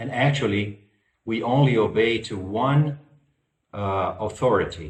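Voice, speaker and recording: Somewhat breathy, a man at a medium pitch with ordinary pitch variation talks at a fairly slow pace in audible room echo. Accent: non-native. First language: not English. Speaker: spiritual lecturer. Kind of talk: lecture. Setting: online virtual conference. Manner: halting, many fillers.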